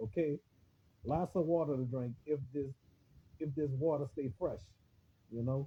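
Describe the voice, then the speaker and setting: A man speaks with a somewhat breathy, fairly high voice and ordinary pitch variation. He leaves long, frequent pauses. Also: moderate pace. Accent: New Orleans. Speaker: online radio host / livestreamer. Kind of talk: casual monologue on a Facebook livestream. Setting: Facebook live video stream. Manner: halting, repetitive with many fillers.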